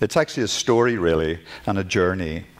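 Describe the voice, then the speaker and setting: A man with a Northern Irish accent talks at a fairly quick pace. His intonation is lively. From Northern Ireland. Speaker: glass artist and art professor. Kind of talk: lecture. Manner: halting.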